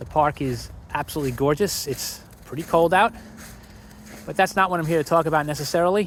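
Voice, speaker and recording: Ordinary pitch variation at a fairly quick pace. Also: man. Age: 60s. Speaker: vlogger. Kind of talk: casual monologue. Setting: outdoors. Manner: walking while talking.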